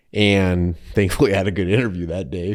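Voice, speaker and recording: The recording is very clean, with a silent background. A man speaks in a very deep, low pitch with fairly even intonation. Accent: Minnesota. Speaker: insurance agent, business owner. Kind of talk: podcast interview.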